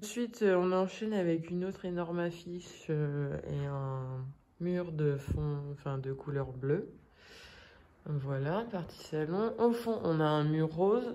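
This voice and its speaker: Speaking at a very slow pace, a woman has a fairly low pitch. Her tone is dark and mellow. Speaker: vlogger. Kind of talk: vlog. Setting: indoors, rented flat. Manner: hesitant, many fillers.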